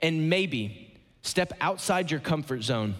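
With an American accent and an unremarkable speaking voice, a man speaks at a fairly high pitch with lively intonation. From Ohio, US Midwest. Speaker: guest pastor. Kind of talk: sermon. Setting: church stage with audience.

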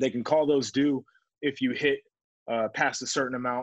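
At a moderate pace, a man with a plain, everyday voice speaks with fairly even intonation. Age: 20s. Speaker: sports podcast host and former football player. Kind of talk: solo podcast monologue.

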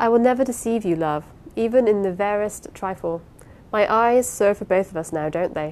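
The text is read aloud plainly. It is plain reading aloud.

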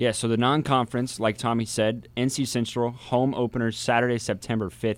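A man speaks in an ordinary speaking voice at a medium pitch, moving at a fairly quick pace with hardly any pauses and very even loudness. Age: 20s. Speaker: college radio sports host. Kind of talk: sports talk radio. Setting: radio studio.

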